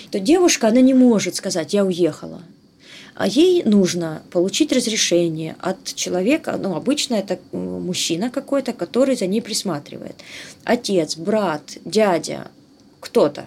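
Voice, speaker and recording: An unremarkable speaking voice, this woman's medium pitch carries lively intonation at a fairly slow pace. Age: 40s. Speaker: human rights activist. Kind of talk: interview testimony. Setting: online call.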